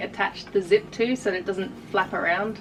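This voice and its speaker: A woman speaks at a fairly quick pace in an Australian accent. Noticeable background noise runs under her voice. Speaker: artist and YouTuber. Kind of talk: casual unboxing vlog. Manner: animated.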